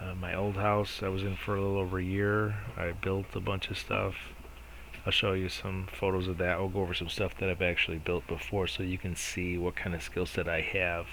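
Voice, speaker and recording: Amid audible room echo, a man speaks in a very deep, low pitch with a monotone, flat intonation at a fairly quick pace. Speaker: DIY home renovation vlogger. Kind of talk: casual vlog intro to camera. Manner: mumbling, not enunciating clearly.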